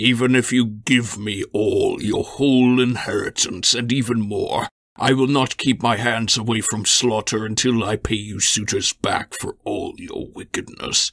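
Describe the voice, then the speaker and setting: Using a put-on character voice, a man speaks at a medium pitch and moderate pace with hardly any pauses. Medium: read story. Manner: menacing, scornful.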